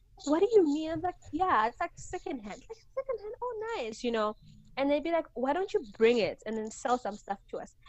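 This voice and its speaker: Speaking at a moderate pace, a woman with a high pitch shows very wide pitch swings and big swings in loudness. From Zimbabwe, Mutare (Eastern Highlands). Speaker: entrepreneur and brand strategist. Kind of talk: casual interview chat.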